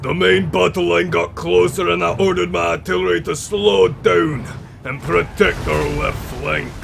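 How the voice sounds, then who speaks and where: A man speaks at a moderate pace in a put-on character voice. Background noise is clearly audible. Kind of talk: epic war-tale narration. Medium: machinima. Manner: proud, gruff storytelling.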